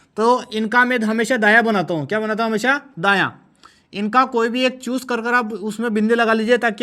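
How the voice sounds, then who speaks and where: A man projects a raised, high-pitched voice with a bright, sharp tone and fairly even intonation. The recording is very clean, with a silent background. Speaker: online exam-prep teacher. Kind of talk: tutorial.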